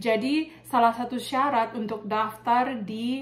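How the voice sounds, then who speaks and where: At a very slow pace, a woman speaks with fairly even intonation and a fairly high pitch. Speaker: nurse and vlogger. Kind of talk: casual tutorial vlog. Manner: casual, with many fillers.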